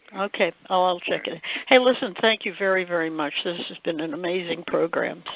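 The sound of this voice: A woman with a fairly low pitch and vocal fry talks at a fairly quick pace with fairly even intonation, in a dry, close sound with no echo.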